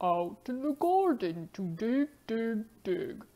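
In a cartoonish character voice, a woman speaks at a very slow pace with a fairly high pitch and very wide pitch swings. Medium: puppet.

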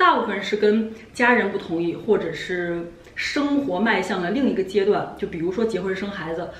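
A woman talks at a fairly quick pace with ordinary pitch variation, audible room echo and light background noise. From China. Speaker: vlogger. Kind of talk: casual chat. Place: home room.

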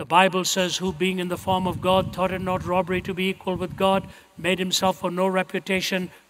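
Over light background noise, a man talks fairly quickly in a high pitch with monotone, flat intonation. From India. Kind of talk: sermon to a live audience. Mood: earnest, solemn. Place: stage. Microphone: headset.

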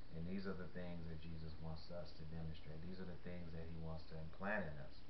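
Over noticeable background noise, a man with a very deep, low pitch talks at a moderate pace. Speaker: faith vlogger. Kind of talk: sermon-like vlog talk. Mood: earnest, calm. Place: home room. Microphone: webcam.

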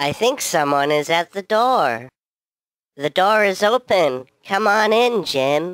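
In a cartoonish character voice, a man speaks high and fairly slowly with very wide pitch swings and a dry, close sound with no echo. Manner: slow, naive, cheerful.

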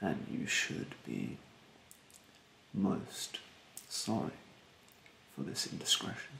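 Putting on a character voice, a man speaks slowly at low pitch with vocal fry and big pitch swings, and room echo is audible. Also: bright, sharp tone.

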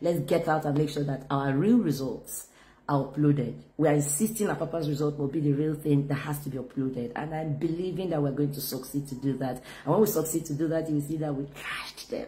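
Somewhat breathy and dark, mellow in tone, a woman with a very deep, low pitch talks at a fairly quick pace with ordinary pitch variation. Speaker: politician. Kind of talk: appeal to camera. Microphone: phone near.

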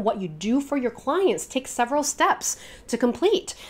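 An energetic woman's voice at a fairly quick pace, with very wide pitch swings. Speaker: business coach. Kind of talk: video tutorial. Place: home room.

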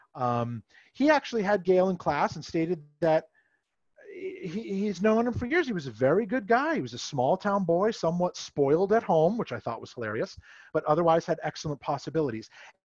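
A man with an American accent talks at a fairly quick pace in a high voice, his pitch swinging very widely, with a dry sound with no echo and a quiet background. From Massachusetts, US. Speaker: camp historian; presenter. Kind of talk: history presentation. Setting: video call. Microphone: headset.

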